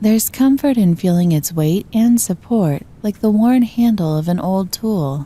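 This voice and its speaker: A calm, dark, mellow, somewhat breathy voice at a fairly slow pace, with lively intonation and hardly any pauses. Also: woman, medium pitch for a woman. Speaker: voice-over artist. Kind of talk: guided meditation. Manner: soft-spoken, slow, calm.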